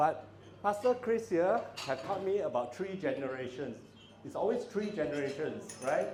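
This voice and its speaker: A loud man with a high pitch and very wide pitch swings, amid noticeable background noise and audible room echo. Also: moderate pace. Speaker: father of the bride. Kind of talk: wedding speech. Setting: banquet hall with audience, PA system.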